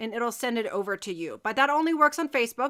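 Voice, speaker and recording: A raised, projected voice with a bright, sharp tone talks at a fairly quick pace with lively intonation. The recording is very clean, with a silent background and a dry, close sound with no echo. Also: woman. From Germany. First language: German. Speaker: crochet teacher. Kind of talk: live tutorial. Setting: live stream. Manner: loud; casual chatty.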